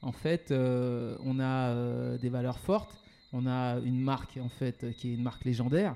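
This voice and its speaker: A man talks at a very slow pace, with a medium pitch. His tone is dark and mellow. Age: 40s. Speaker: entrepreneur. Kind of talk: interview. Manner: hesitant, many fillers and repetitions.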